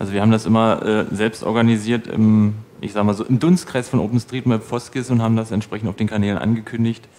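Rushing at a very fast pace, a man speaks at a medium pitch. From Brandenburg, Germany. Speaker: community organizer and mapping volunteer; conference presenter. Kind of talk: conference talk; audience Q&A. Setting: stage with audience. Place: hall. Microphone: headset.

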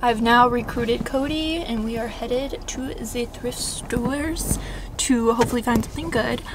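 A woman with a high-pitched voice talks at a moderate pace over noticeable background noise. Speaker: lifestyle vlogger. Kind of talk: casual vlog talk to camera. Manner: animated. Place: car. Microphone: phone near.

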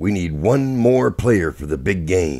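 Using a put-on character voice, a man talks slowly at a low pitch with a dark, mellow tone, vocal fry and big pitch swings.

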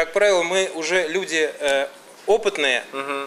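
With an unremarkable speaking voice, a man speaks at a moderate pace with ordinary pitch variation over light background noise. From Samara, Volga region, Russia; Russia. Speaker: music and media producer; talk show guest. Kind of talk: casual talk show interview. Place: studio.

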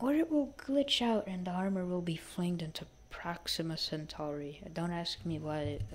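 A woman speaks with a fairly low pitch at a moderate pace. She leaves hardly any pauses. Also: lively intonation. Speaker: gaming tutorial youtuber. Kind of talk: casual game tutorial voiceover. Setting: low-quality microphone.

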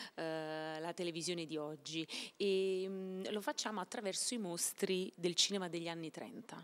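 Her pace moderate and her pitch variation ordinary, a woman is speaking. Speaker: stage actress. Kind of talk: interview answer. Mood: excited, a bit nervous. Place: hall. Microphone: handheld.

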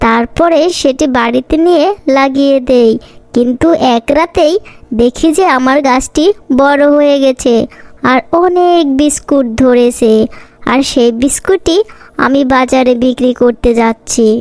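A female-sounding, cartoonish character voice, high in pitch for a woman, at a fairly slow pace. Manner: lively, excitable.

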